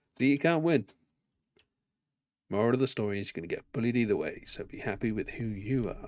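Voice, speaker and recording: A man with an English accent talks at a very fast pace and medium pitch, with ordinary pitch variation. His loudness swings a lot, and he takes long, frequent pauses. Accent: posh, elocution-trained English. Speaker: gaming streamer. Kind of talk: live gameplay commentary. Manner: halting with pauses.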